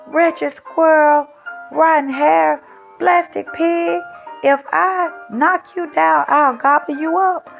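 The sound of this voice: Faint music plays behind a put-on character voice that moves slowly, with vocal fry and fairly even intonation. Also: woman, high pitch for a woman.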